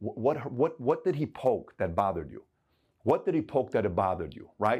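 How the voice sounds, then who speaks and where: Vocal fry runs through this man's fairly quick speech, and his pitch swings very widely. The recording is very clean, with a silent background. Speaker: entrepreneur and motivational YouTuber. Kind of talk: motivational advice monologue. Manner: animated.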